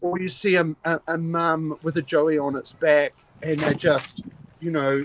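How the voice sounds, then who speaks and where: With a New Zealand accent, a man speaks at a fairly high pitch and a fairly slow pace. His intonation is monotone and flat, and the sound is dry and close with no echo. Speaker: koala conservation volunteer. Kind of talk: casual interview. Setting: outdoors, in a small shelter, video call. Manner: halting, many fillers and repeats.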